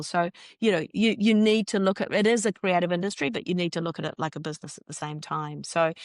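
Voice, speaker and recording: In a New Zealand accent, a woman speaks very fast at a fairly low pitch against a quiet background. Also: dry, close sound with no echo. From New Zealand (Northland). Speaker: journalist turned filmmaker. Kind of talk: interview.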